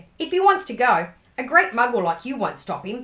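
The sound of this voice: A female-sounding voice puts on a growling, gruff character at a high pitch, raised and projected. It moves at a fairly quick pace with very wide pitch swings.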